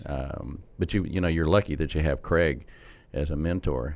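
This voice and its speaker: A man's very deep, low voice with vocal fry and ordinary pitch variation in a very clean recording with a silent background. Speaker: interviewer, podcast host. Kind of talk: interview question. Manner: conversational.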